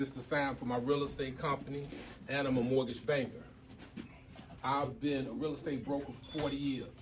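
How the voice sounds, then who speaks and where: With an American accent, a man speaks fairly quickly at a fairly high pitch, using monotone, flat intonation and long, frequent pauses, with audible room echo. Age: 60s. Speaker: real estate broker. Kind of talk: seminar talk.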